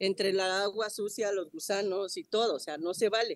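A woman's medium-pitched voice at a moderate pace, with a dry, close sound and no echo. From Mexico, Chalco (State of Mexico). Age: 50s. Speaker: flood-affected resident. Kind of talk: on-site news interview.

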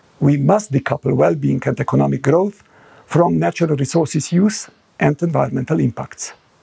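The setting is quiet. A man speaks at a fairly quick pace. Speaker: panel co-chair. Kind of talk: prepared conference address. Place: home room. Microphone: lapel.

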